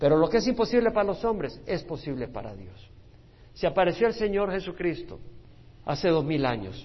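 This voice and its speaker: Using vocal fry, a man speaks at a moderate pace with a fairly high pitch and very wide pitch swings. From El Salvador. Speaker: pastor. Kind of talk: Bible study teaching.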